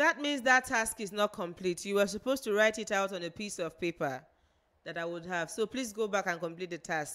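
Talking at a fairly quick pace, a woman has a medium pitch and a plain, everyday voice. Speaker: pageant show coordinator giving instructions. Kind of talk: instructions to contestants. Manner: formal.

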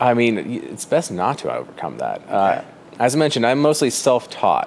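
Over light background noise, a man with an American accent talks at a moderate pace. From Fruita, western Colorado; Colorado. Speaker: artist and gallery owner. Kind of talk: interview. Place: shop.

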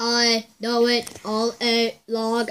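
A female-sounding voice puts on a robotic character voice. It stays monotone and flat at a fairly high pitch. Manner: deadpan.

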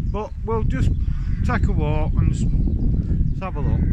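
Dry sound with no echo, loud background noise, a man talking at a moderate pace. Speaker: village walk vlogger. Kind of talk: casual vlog chat. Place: street. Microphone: phone near.

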